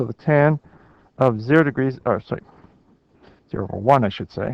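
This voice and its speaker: A plain, everyday voice from a man, fairly quick in pace, with ordinary pitch variation and a dry, close sound with no echo. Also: medium pitch for a man. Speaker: math teacher. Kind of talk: lecture.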